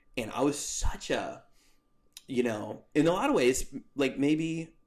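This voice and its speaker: At a fairly slow pace, a man talks. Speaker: former youth pastor. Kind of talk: casual interview conversation. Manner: loud and boisterous; halting, many fillers.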